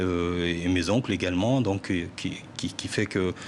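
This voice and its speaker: A man with a strong Parisian accent speaks at a very slow pace, very deep and low in pitch, with fairly even intonation. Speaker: musician. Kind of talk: TV interview. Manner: hesitant, many fillers and repetitions.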